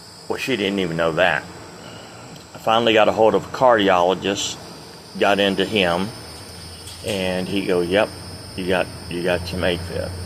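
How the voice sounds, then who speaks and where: Noticeable background noise runs behind a man speaking at a moderate pace. His pitch is very deep and low, and his intonation fairly even. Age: 60s. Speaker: retired truck driver vlogger. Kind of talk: casual vlog monologue. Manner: rambling, hesitant with fillers.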